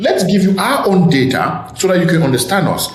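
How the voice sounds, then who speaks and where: Over noticeable background noise and audible room echo, a man with an African accent speaks at a moderate pace, his pitch high and his intonation lively. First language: an African language. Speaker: podcast host. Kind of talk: casual chat.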